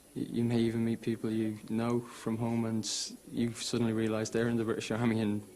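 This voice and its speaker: A man with an Irish accent speaks at a medium pitch. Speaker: soldier. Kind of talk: documentary interview.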